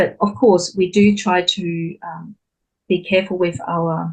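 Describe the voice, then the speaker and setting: A woman with a non-native accent speaks at a fairly low pitch, somewhat breathy, with fairly even intonation. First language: not English. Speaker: recent graduate sharing exam tips. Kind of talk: online webinar Q&A.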